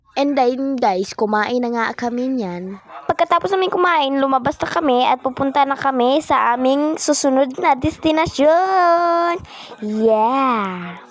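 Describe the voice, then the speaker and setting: A woman at high pitch with very wide pitch swings, a fairly slow pace, and noticeable background noise. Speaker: game roleplay vlogger. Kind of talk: casual vlog narration. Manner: energetic.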